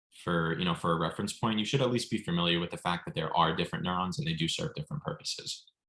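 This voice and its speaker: A man speaks in a bright, sharp tone with ordinary pitch variation. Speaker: MCAT tutor. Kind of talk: online lecture. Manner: fast.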